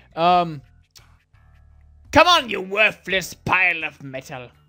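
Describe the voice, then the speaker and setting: A put-on character voice, rumbling and at a middle pitch, drags along at a very slow pace over music in the background. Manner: cranky, grumbling.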